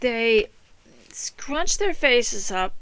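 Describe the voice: Very slowly, a woman speaks at a fairly high pitch with a clear, smooth tone that is fairly bright. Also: lively intonation.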